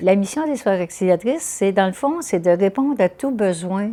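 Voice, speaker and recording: At a moderate pace, a woman speaks with a dark, mellow tone and lively intonation. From Quebec, Eastern Townships (Estrie). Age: 80s+. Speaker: nun and social activist. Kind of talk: interview testimony. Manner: hesitant, many fillers.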